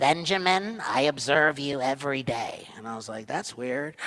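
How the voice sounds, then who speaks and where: A raspy man putting on a character voice at a medium pitch, with ordinary pitch variation and a moderate pace. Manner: earnest, caring.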